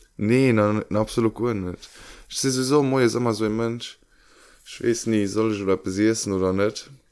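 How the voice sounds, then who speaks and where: Over a very clean recording with a silent background, a man speaks at a moderate pace. His pitch is fairly low and his intonation fairly even. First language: Luxembourgish (speaking German). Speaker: podcast co-host. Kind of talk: casual chat.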